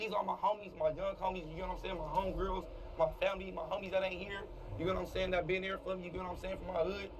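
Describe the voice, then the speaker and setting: Noticeable background noise sits behind a man speaking at a very fast pace. His high pitch stays monotone and flat. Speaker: content creator, shooting survivor. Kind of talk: emotional testimony. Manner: halting, voice cracking.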